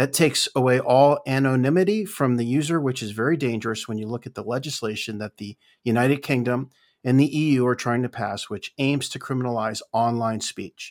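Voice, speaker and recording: A man talks in an ordinary speaking voice at medium pitch, with ordinary pitch variation. His pace is fairly quick, with a dry, close sound with no echo. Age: 50s. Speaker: podcaster and former leasing businessman. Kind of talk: casual chat. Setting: online group call.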